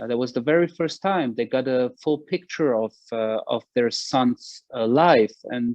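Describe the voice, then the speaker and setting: A man with a German accent speaks at a medium pitch. His pace is fairly slow, with hardly any pauses. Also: ordinary pitch variation. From Germany, Berlin (Wedding). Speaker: author and former military spokesman. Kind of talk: interview. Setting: video call. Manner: halting, many fillers.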